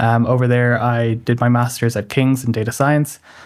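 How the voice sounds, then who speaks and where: The man's pace is fairly quick. He talks at a medium pitch. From Ireland. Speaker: MBA student. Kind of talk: podcast interview.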